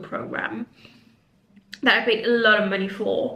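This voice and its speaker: Audible room echo surrounds a woman talking at a moderate pace, her medium pitch showing ordinary variation. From Mauritius. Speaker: career coach. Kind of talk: casual vlog monologue. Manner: unscripted, some filler words.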